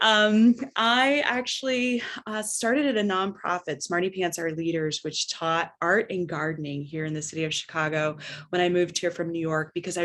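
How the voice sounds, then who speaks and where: A woman's normal speaking voice with an American accent, fairly low in pitch, at a moderate pace with ordinary pitch variation. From Northern California. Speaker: arts center developer and entrepreneur. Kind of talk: panel discussion.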